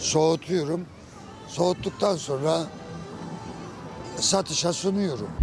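With music in the background, a man speaks very slowly in a high voice, using ordinary pitch variation and long, frequent pauses. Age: 60s. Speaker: Ottoman paste candy maker and seller. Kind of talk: interview answer.

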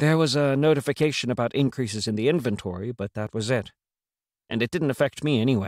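A man speaks at a very fast pace, his medium pitch rising and falling in an ordinary way. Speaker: audiobook narrator. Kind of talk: dramatic audiobook narration of a fantasy story. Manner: dramatic, storytelling delivery with character voices.

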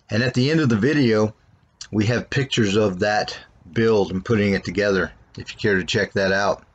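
Talking at a fairly quick pace, a man shows ordinary pitch variation. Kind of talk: casual walkaround tour. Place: street. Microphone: phone near.

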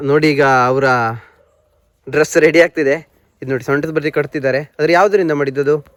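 Speaking in a normal speaking voice, a man holds a fairly high pitch and keeps his intonation fairly even. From Karnataka, Uttara Kannada district (Siddapur). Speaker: village vlogger. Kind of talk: vlog narration and interview. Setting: outdoors in areca plantation.

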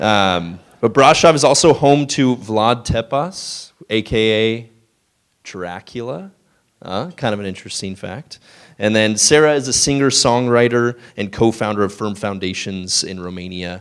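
An unremarkable speaking voice at a fairly slow pace, with ordinary pitch variation and a quiet background. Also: man, fairly low pitch for a man. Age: 30s. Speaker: event host. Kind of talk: speaker introduction. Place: hall. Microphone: handheld.

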